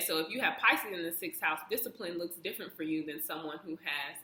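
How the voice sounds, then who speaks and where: A woman's voice sits fairly low in pitch and has a bright, sharp tone. Her pitch varies in an ordinary way. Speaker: astrology youtuber. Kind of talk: casual explainer monologue. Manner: halting, with fillers.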